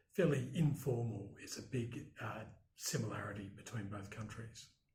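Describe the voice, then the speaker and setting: A man speaks at a moderate pace in an Australian accent, with medium pitch, ordinary pitch variation and a somewhat breathy quality. Room echo is audible. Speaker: broadcast journalist. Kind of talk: interview. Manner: hesitant, many fillers.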